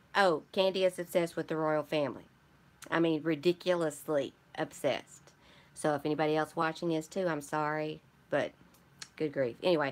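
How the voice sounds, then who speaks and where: With an American accent, a woman talks at a fairly quick pace yet with long, frequent pauses, her pitch very deep and low and her intonation fairly even. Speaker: junk journal crafter, live streamer. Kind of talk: live stream chat with viewers, product haul. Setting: live stream. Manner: casual, chatty.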